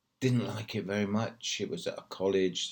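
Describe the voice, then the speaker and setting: Speaking in a British accent, a man varies his pitch in an ordinary way. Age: 60s. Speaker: English teacher in China. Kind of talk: casual talk to camera.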